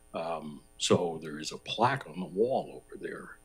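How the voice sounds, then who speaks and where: A man with a very deep, low pitch and music in the background. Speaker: resident speaking at public participation. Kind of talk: public comment at council meeting.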